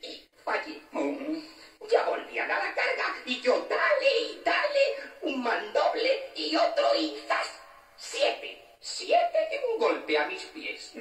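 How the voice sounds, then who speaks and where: The voice moves at a very slow pace, with a slight echo. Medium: audio drama.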